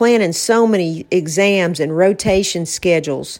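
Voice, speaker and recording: Speaking at a fairly slow pace, a woman with an unremarkable speaking voice keeps a medium pitch and ordinary pitch variation. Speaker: podcast host and author. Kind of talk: casual conversational podcast chat.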